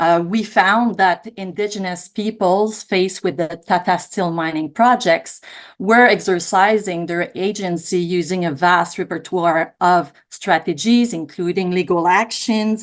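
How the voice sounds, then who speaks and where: Hardly pausing, a woman speaks at a fairly slow pace with a medium pitch and fairly even intonation. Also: quiet background. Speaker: law professor and researcher. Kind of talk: panel presentation. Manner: hesitant with many fillers.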